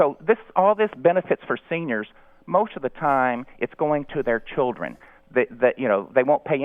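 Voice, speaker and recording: An unremarkable speaking voice. It moves at a fairly quick pace. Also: man. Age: 40s. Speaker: caller. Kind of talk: call-in radio discussion.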